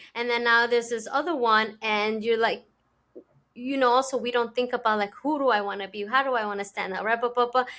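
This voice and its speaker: Over a very clean recording with a silent background, a woman with a Spanish accent talks at a fairly quick pace, her tone bright and sharp, her pitch fairly high, her intonation fairly even. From immigrant to an English-speaking country. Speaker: podcast host. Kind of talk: casual interview chat.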